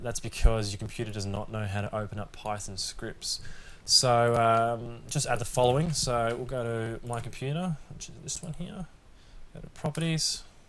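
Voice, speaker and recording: In an unremarkable speaking voice, a man talks at a mid-range pitch. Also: ordinary pitch variation, moderate pace. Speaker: tech tutorial youtuber. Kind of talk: tutorial. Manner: casual.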